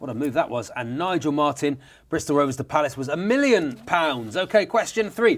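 On a very clean recording with a silent background, a man with an unremarkable speaking voice talks at a fairly quick pace and a fairly high pitch. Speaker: radio host. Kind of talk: radio dj patter. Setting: studio.

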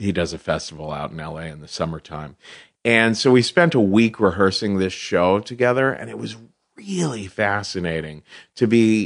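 A man's plain, everyday voice, fairly low in pitch, with lively intonation, a moderate pace and a quiet background. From Cincinnati, Ohio, US Midwest. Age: 40s. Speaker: comedian and storyteller, podcast host. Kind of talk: casual interview chat.

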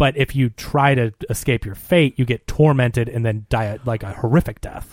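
In a plain, everyday voice, a man at medium pitch talks at a moderate pace with ordinary pitch variation, in dry, close sound with no echo. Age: 30s. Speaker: film podcast co-host. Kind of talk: casual chat.

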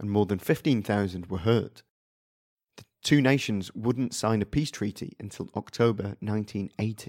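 In a very clean recording with a silent background, a man speaks in a plain, everyday voice at a moderate pace, fairly low in pitch with ordinary pitch variation. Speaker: podcast host and narrator. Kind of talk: history documentary narration, scripted storytelling. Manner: measured, steady, serious.

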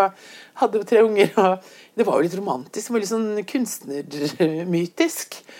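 A woman with a plain, everyday voice, medium pitch and lively intonation. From Bergen, western Norway. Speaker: visual artist. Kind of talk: casual interview chat. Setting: in her kitchen at home.

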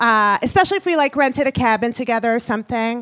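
In a very clean recording with a silent background and a dry, close sound with no echo, a woman talks at a fairly high pitch in an ordinary speaking voice. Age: 30s. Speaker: comedian. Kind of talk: stand-up. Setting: stage with audience.

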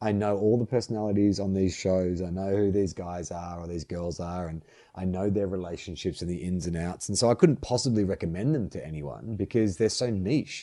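Speaking in an Australian accent, a man uses a very deep, low pitch and a dark, mellow tone with ordinary pitch variation. He goes at a fairly quick pace with hardly any pauses, over a quiet background. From Melbourne, Australia. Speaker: actor and writer. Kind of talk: casual interview.

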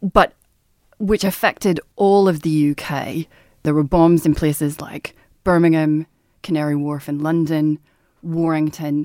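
A woman with a very deep, low pitch and a dark, mellow tone speaks at a fairly slow pace with fairly even intonation and long, frequent pauses, the sound dry and close with no echo. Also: very clean recording, silent background. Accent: Northern Irish. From Northern Ireland. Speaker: journalist. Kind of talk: casual chat.

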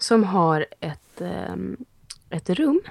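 The recording of this woman's fairly low voice is dry and close with no echo. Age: 40s. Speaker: actress and podcast co-host. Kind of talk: casual chat.

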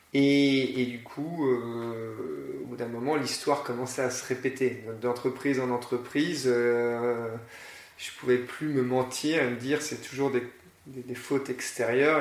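Over noticeable background noise and audible room echo, a man speaks at a medium pitch with monotone, flat intonation. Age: 40s. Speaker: school founder and director. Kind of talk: interview. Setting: in person at the school premises. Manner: halting, many repetitions and fillers.

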